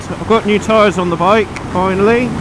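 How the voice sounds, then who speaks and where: Noticeable background noise behind a man's dry voice with no echo. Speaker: motorbike rider vlogger. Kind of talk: casual vlog chat. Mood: relaxed, joking. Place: motorbike. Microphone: helmet.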